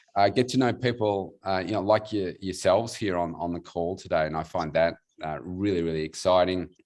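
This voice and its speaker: With an Australian accent, a man talks in a very deep, low pitch. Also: quiet background. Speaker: weight loss coach. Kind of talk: panel self-introduction. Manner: halting, many fillers.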